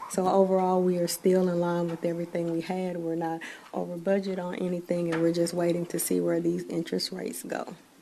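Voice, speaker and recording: A woman's fairly low, monotone voice, flat in intonation, at a fairly quick pace with hardly any pauses and audible room echo. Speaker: city finance staff. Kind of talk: budget report. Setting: council meeting.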